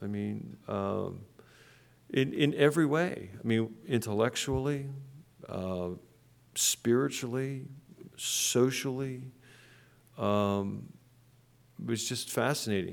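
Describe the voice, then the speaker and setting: A man with an American accent at medium pitch, lively intonation, a very slow pace and long, frequent pauses, amid audible room echo. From western Pennsylvania. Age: 60s. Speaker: pastor. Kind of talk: sermon. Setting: church.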